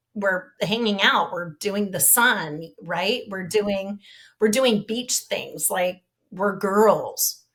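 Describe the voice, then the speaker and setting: She talks very slowly, her pitch varying an ordinary amount. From Southern California, US. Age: 50s. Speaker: victim's sister, speaker on depression. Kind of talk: casual interview chat.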